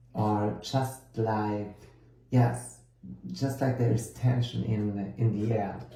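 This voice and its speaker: A man's fairly low voice in a German accent, very slow and fairly even in intonation, with audible room echo. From Germany. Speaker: tarot card reader and course teacher. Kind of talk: lecture. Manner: halting, with many fillers.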